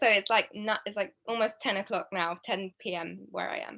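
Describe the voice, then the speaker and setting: With a British accent, a woman speaks at a medium pitch in a bright, sharp tone, with ordinary pitch variation and big swings in loudness. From England, London. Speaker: young filmmaker. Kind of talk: panel Q&A.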